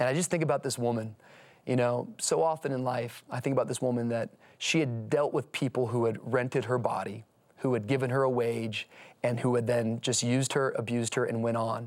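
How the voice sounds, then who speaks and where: In an unremarkable speaking voice, a man talks at a fairly quick pace with a medium pitch, fairly even intonation and very even loudness, on a very clean recording with a silent background. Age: 30s. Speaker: pastor. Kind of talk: casual chat.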